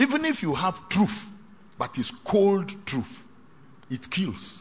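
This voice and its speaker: A man at a very slow pace, with very wide pitch swings. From Ghana. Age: 60s. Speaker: pastor. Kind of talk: sermon. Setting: hall with live congregation. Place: hall.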